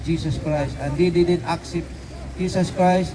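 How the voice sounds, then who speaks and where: Amid noticeable background noise, a man talks at a fairly slow pace in a high pitch with fairly even intonation. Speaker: street preacher. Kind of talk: street preaching sermon. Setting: outdoors in a city park. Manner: halting, with filler words and repetitions.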